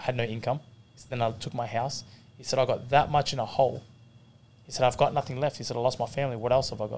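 Talking very fast in an Australian accent, a man uses monotone, flat intonation, with long, frequent pauses and big swings in loudness. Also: medium pitch for a man. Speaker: professional boxer. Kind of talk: casual chat. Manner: laid-back.

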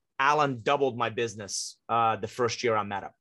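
With a slight non-native accent, the speaker has a bright, sharp tone and fairly even intonation at a moderate pace over a quiet background. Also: man. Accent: hardly any foreign. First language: not English. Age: 50s. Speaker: author and business coach. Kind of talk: interview.

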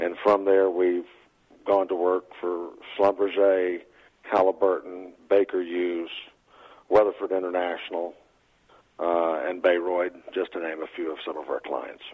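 In a Texan accent, a man with a very deep, low pitch talks at a fairly slow pace. His intonation is monotone and flat, with long, frequent pauses. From Texas. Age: 50s. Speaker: trucking company president. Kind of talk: casual interview.

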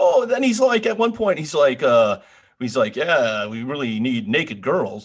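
His pitch is fairly high and swings very widely. This man speaks at a moderate pace with an American accent. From northern US. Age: middle-aged. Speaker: podcast co-host. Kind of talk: casual chat.

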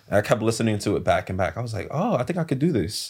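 Very fast and somewhat breathy, a man with a slight New York accent speaks at a medium pitch with lively intonation on a very clean recording with a silent background. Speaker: singer. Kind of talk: casual chat.

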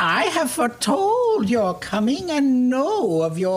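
A female-sounding voice uses a put-on character voice with a high pitch and very wide pitch swings. Clear background noise can be heard. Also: fairly slow pace. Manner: knowing, mystical.

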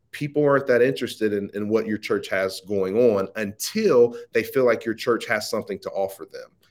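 A man with an American accent talks at a fairly quick pace. He hardly pauses at all. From US Midwest, Ohio. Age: young. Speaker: social media marketing entrepreneur. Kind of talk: interview conversation.

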